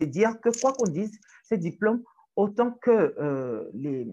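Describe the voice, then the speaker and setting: A woman talks at a very slow pace in a dark, mellow tone. Her voice has vocal fry and very wide pitch swings. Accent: strong Togolese. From Togo (Lomé). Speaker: writer, activist and journalism lecturer. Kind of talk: interview conversation. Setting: in person in Lomé.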